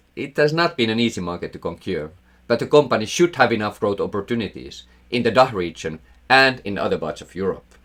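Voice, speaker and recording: A man with a Finnish accent talks at a fairly quick pace and medium pitch, with vocal fry and very wide pitch swings. The recording is very clean, with a silent background. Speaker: investing educator, former portfolio manager. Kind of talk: scripted narration.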